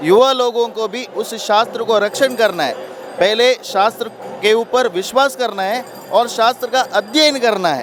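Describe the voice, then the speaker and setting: Noticeable background noise sits behind speech with ordinary pitch variation. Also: man, extremely high pitch for a man. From Karnataka, India. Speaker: interviewer. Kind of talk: interview.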